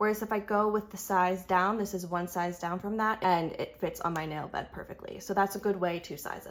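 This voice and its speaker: A woman's medium-pitched voice at a very fast pace, with fairly even intonation and noticeable background noise. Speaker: beauty vlogger. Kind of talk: tutorial. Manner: rising intonation at ends of phrases; casual, chatty.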